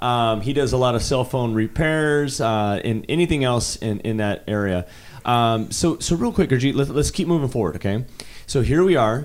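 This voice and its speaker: An unremarkable speaking voice: a man at medium pitch, moderate pace and lively intonation. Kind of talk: casual interview.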